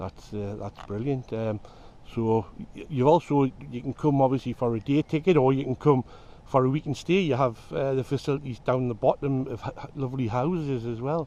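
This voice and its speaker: A man with a Geordie accent talks at a fairly quick pace in a dark, mellow tone of medium pitch. His pitch varies in an ordinary way while his loudness swings widely. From northern England, Newcastle area (Geordie). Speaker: fishing video host. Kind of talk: casual interview.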